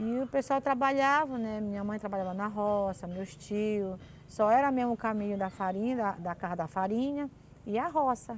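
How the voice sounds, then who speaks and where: Here is a woman with a normal speaking voice and a fairly high pitch. She keeps a moderate pace with ordinary pitch variation. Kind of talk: interview answer, folk tale telling.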